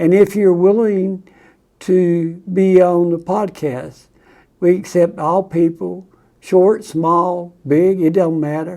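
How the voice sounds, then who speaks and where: A man with a high-pitched voice and a dark, mellow tone speaks at a very slow pace. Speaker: heart patient sharing his story. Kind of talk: personal testimony. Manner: halting.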